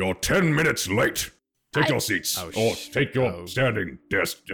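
Using a put-on character voice, a man speaks at a medium pitch in a raspy tone. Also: fairly slow pace. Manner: stern, reprimanding.

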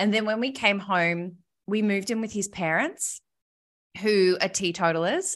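Against a quiet background, a woman with an Australian accent speaks at a moderate pace, her medium-pitched voice showing ordinary pitch variation. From Australia, Melbourne. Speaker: podcast host and recovery advocate. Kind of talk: casual interview, personal story.

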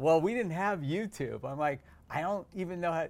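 An unremarkable speaking voice from a man, fairly high in pitch with ordinary pitch variation, on a very clean recording with a silent background. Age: 60s. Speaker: dentist and podcast host. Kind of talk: interview, casual chat.

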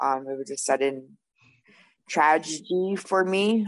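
A woman with a Canadian prairie accent, fairly even intonation and a moderate pace, set against a quiet background. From Canada, Winnipeg, Manitoba. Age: 30s. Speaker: person in addiction recovery. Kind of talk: testimony. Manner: hesitant, many fillers.

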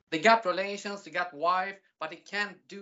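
In a Swedish accent, a woman talks at a fairly slow pace with a fairly low pitch and lively intonation. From Sweden. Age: 40s. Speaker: music entertainer and aspiring adult performer. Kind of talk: casual interview.

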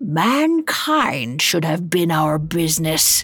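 The speaker puts on a raspy character voice at a middle pitch. The pace is very slow. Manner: growling, stern.

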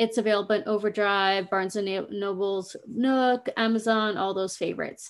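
A woman with an American accent has a plain, everyday voice and a fairly high pitch. She keeps a moderate pace and fairly even intonation against a quiet background. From US Pacific Northwest. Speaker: podcast host and screenwriter. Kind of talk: solo podcast monologue.

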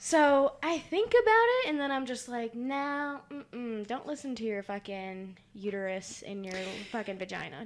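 Her pace is moderate. The woman's intonation is lively. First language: not English. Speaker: podcast host. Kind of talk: casual chat. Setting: studio. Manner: animated.

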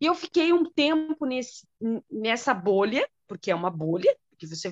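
Over a quiet background, a woman's voice makes very wide pitch swings, with a dry, close sound and no echo. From Brazil. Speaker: teacher. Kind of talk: casual interview.

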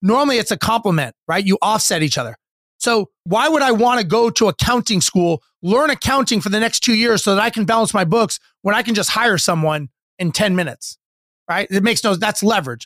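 On a very clean recording with a silent background and a dry, close sound with no echo, a man with an American accent speaks at a high pitch with lively intonation and very even loudness. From US West, Los Angeles. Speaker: real estate investor and former airline pilot. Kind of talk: interview. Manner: animated.

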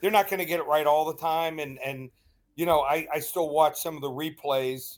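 In a very clean recording with a silent background, a man with an American accent talks in an unremarkable speaking voice with fairly even intonation. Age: 50s. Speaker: sports betting analyst. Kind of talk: radio interview.

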